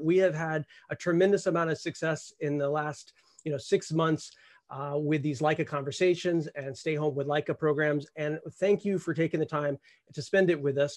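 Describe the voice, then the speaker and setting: A man at a moderate pace with fairly even intonation, a dry sound with no echo and a quiet background. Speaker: director of a photography academy. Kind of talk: live webinar host.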